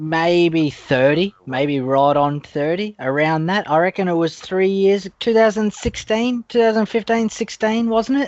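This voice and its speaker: A man speaks in a high voice that swings very widely in pitch. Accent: Australian. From Australia. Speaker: gaming podcast co-host. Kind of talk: casual chat.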